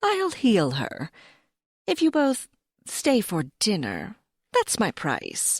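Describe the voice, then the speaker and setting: Using a put-on character voice with a fairly high pitch, a woman speaks at a very slow pace with long, frequent pauses in a very clean recording against a silent background. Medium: read story. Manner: dry, commanding.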